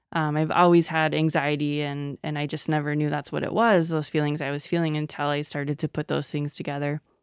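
A woman with an American accent speaks in a very deep, low voice with flat, monotone intonation. She talks at a fairly quick pace with hardly any pauses, on a very clean recording with a silent background. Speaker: health organization executive. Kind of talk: interview. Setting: studio, in person.

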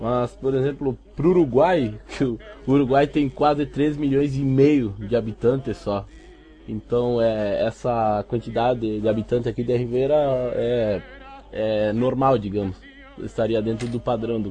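A man's medium-pitched voice with ordinary pitch variation, at a fairly slow pace over music in the background. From Uruguay-Brazil border (Rivera / Santana do Livramento). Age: 20s. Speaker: cosplay prop maker. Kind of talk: casual interview.

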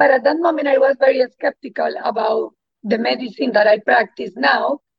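A woman speaks with a Spanish accent. She keeps a moderate pace. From Colombia. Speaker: integrative oncologist. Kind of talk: interview.

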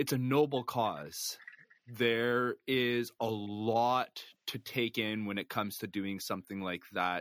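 With a Canadian accent, the speaker goes very slowly with ordinary pitch variation, in a dry, close, echo-free and very clean recording with a silent background. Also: man, medium pitch for a man. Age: 40s. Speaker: podcast host. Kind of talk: casual chat.

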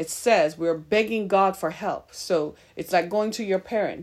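Delivered at a fairly slow pace with ordinary pitch variation, this is an unremarkable speaking voice. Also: woman. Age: 50s. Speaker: podcast host and minister. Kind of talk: sermon.

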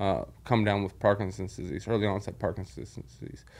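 With an American accent, a man talks on a very clean recording against a silent background. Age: 40s. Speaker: former merchant mariner with Parkinson's. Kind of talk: interview about personal illness. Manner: halting with many fillers.

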